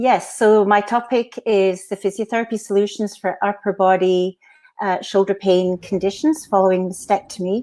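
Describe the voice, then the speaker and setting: Fairly even in intonation, a woman speaks in a Glaswegian accent with a dark, mellow tone. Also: medium pitch for a woman, moderate pace. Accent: Glaswegian Scottish, noticeable. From Scotland, Glasgow. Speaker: physiotherapist. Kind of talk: conference lecture. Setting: virtual conference.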